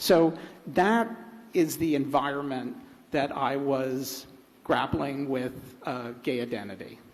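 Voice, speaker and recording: A man with an American accent talks very slowly at a fairly high pitch, with ordinary pitch variation. Long, frequent pauses break up his speech, and room echo is audible. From United States. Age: 60s. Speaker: writer on a festival panel. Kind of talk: panel discussion. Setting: stage with audience. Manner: hesitant, many fillers.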